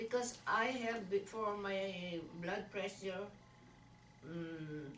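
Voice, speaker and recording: Audible room echo and noticeable background noise surround a woman whose intonation is fairly even. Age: 60s. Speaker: patient. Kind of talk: patient interview. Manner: halting, many fillers.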